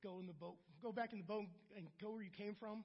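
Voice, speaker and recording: A man speaks with an American accent. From US Midwest, Akron, Ohio. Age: 40s. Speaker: church member in recovery. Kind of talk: testimony. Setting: church.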